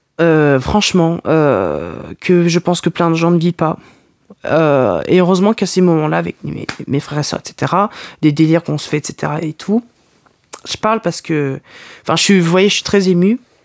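A man speaks at a moderate pace, with long, frequent pauses. The sound is dry with no echo, and the background is quiet. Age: young. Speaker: podcaster. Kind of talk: personal confessional monologue. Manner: halting. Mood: emotional, frustrated, moved. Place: home room. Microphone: studio mic.

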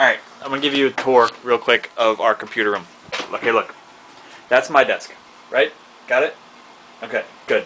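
A man with long, frequent pauses and noticeable background noise. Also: fairly quick pace. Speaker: store manager. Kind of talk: casual chat. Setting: home recording. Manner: stutters.

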